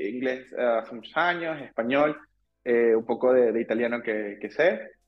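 A man's medium-pitched voice in a Venezuelan accent, at a moderate pace with ordinary pitch variation. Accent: Venezuelan, drops final s. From Venezuela, Caracas. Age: 30s. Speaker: engineer. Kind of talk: casual interview chat. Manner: halting, many repetitions.

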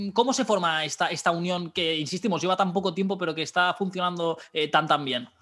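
In a quiet background, a man speaks at a high pitch with a bright, sharp tone. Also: ordinary pitch variation, fairly quick pace. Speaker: podcast host. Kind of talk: interview. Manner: halting.

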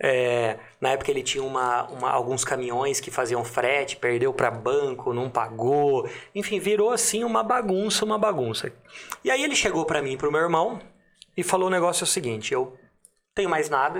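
Pitched fairly high, this man's voice swings very widely in pitch. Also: moderate pace. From Limeira, São Paulo state, Brazil. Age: 30s. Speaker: entrepreneur. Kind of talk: casual interview chat.

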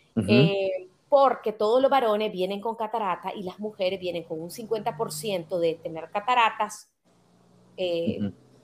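In a normal speaking voice, the delivery moves at a fairly slow pace with ordinary pitch variation and big swings in loudness. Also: woman, medium pitch for a woman. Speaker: author and podcaster. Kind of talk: interview.

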